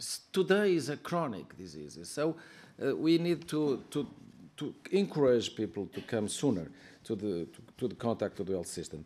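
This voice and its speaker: In a Portuguese accent, a man speaks at a medium pitch. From Portugal. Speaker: member of European Parliament. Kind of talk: conference speech. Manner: halting, many fillers and repetitions.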